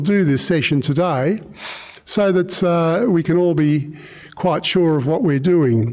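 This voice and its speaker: Speaking very slowly against a quiet background, a man with an Australian accent has a fairly high voice and ordinary pitch variation. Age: 70s. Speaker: meditation teacher. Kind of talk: guided meditation. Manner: halting. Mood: calm, gentle, hesitant. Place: hall. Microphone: studio mic.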